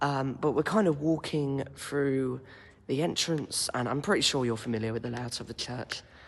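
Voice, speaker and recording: A man speaks quietly at a medium pitch and a moderate pace. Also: ordinary pitch variation. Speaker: intern giving a guided tour. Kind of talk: casual guided walking tour vlog. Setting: inside an echoey church. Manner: quiet, hushed; hesitant, many ums. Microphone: echo in the room.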